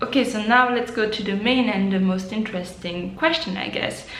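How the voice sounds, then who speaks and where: Noticeable background noise and audible room echo surround a woman of medium pitch who speaks with a slight French accent. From French-speaking Switzerland. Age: 20s. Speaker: book vlogger. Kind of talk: casual vlog to camera.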